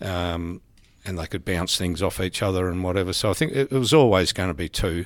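Talking at a fairly quick pace, a man with an Australian accent has a very deep, low pitch. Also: ordinary pitch variation, very clean recording, silent background. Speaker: senior police officer. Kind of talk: interview.

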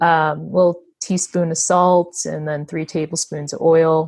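Her intonation monotone and flat, a woman with an American accent speaks at a fairly low pitch. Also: quiet background. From USA. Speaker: co-host, sales rep. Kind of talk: casual chat.

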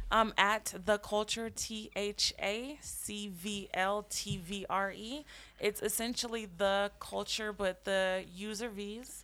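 Speaking very slowly with hardly any pauses, a woman with an American accent has a medium pitch, a bright, sharp tone and fairly even intonation. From Colorado. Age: 20s. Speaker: holistic healer and Reiki practitioner. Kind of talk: casual chat. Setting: studio at a dispensary.

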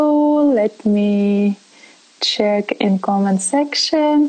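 A woman with a non-native accent and lively intonation, amid noticeable background noise. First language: not English. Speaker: online talk host. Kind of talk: interview. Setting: live stream.

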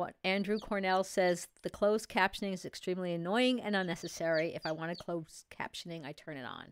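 With a New York accent, the speech moves at a fairly quick pace with ordinary pitch variation, on a very clean recording with a silent background and a dry, close sound with no echo. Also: woman, medium pitch for a woman. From New York City area. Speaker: co-host, chicken keeper. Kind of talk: live show, casual chat. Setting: studio, live stream. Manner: fast talker.

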